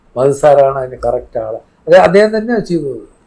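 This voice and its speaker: The man has a fairly high pitch. His tone is dark and mellow. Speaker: son of a late film actor. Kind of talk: interview conversation.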